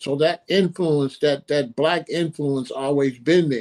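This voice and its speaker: With an American accent, a man talks in an unremarkable speaking voice at a fairly high pitch, moderate pace and fairly even intonation. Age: 60s. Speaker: author and musician. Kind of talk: interview.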